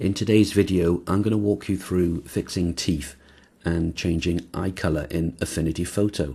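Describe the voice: Putting on a character voice, a man speaks hoarsely at a moderate pace, very deep and low in pitch, with fairly even intonation.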